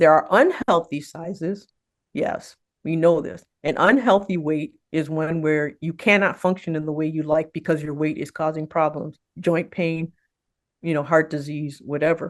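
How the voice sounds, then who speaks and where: A woman speaks at a moderate pace in a very deep, low voice, her intonation fairly even against a quiet background. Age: 60s. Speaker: physician, weight management specialist. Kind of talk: interview.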